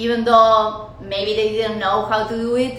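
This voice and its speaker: A woman with a Spanish accent speaks in an animated tone at a fairly high pitch. Audible room echo and noticeable background noise surround her voice. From Argentina. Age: 30s. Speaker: podcast host. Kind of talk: personal monologue. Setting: recording in front of camera. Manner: halting.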